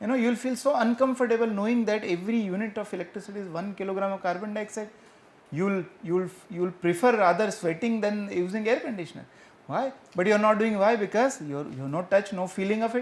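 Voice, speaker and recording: A high-pitched man at a very fast pace, with ordinary pitch variation. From India, rural village. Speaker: professor. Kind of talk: Q&A answer after lecture. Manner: hesitant, with fillers.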